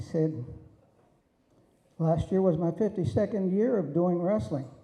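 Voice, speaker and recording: Speaking at a fairly slow pace, a man has a high pitch. His tone is dark and mellow. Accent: American. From Pennsylvania, Allegheny Mountains. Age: 80s+. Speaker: wrestling referee. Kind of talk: acceptance speech. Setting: banquet hall with audience.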